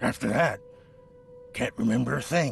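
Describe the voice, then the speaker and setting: A man's raspy, put-on character voice at a moderate pace, with music in the background. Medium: video game. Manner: nervous, defensive; stammering when pressed.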